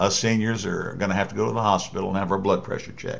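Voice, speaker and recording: With audible room echo around him, a man speaks at a fairly low pitch. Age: 60s. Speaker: political commentator. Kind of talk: political monologue addressed to the president. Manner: halting, many fillers and restarts.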